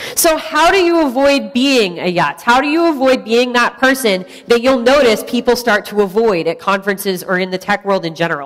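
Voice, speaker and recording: Loud and fairly quick, a woman talks with hardly any pauses at a fairly high pitch and very wide pitch swings. There is noticeable background noise. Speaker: tech conference speaker. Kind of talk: conference talk.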